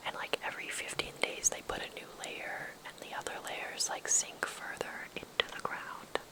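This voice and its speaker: Whispering in a gentle tone, the voice moves at a fairly slow pace. Noticeable background noise sits behind it. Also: woman. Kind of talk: ASMR travel guide, whispered to camera. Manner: whispered, soft, gentle.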